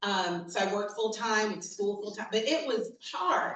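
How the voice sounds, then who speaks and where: A woman with an American accent speaks at a moderate pace in an animated tone, her pitch swinging very widely, with audible room echo. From New York City, the Bronx. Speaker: diversity and inclusion consultant. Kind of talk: keynote talk.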